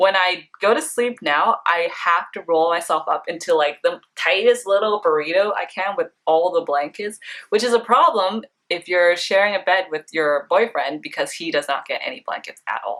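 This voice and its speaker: A woman with an ordinary speaking voice, medium pitch and a Canadian accent, at a moderate pace. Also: lively intonation. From Vancouver, Canada. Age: 20s. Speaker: beauty blogger. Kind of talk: casual personal facts vlog.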